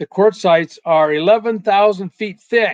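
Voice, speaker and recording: In an American accent, a man speaks very slowly with fairly even intonation, the sound dry and close with no echo. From US Pacific Northwest, Seattle. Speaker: retired meteorologist and creationist researcher. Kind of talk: slide lecture.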